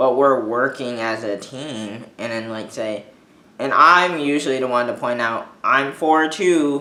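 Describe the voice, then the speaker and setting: At a moderate pace, a man speaks with ordinary pitch variation. He has an ordinary speaking voice. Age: 20s. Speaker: vlogger with dwarfism. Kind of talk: casual monologue. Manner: informal, many fillers.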